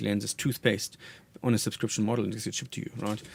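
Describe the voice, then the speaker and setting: Here is a man with a German accent. His pitch sits fairly low. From Germany. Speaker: marketing executive. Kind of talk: radio interview. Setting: radio studio.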